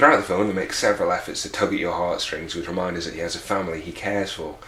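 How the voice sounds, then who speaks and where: A man with a British accent speaks in a very deep, low pitch. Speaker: film reviewer. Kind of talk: online film review narration. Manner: sardonic, humorous.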